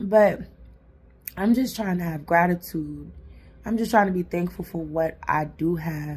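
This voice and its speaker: With long, frequent pauses and a fairly slow pace, a woman speaks in a somewhat breathy voice of fairly low pitch and ordinary pitch variation. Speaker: self-help vlogger. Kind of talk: motivational vlog talk. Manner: animated.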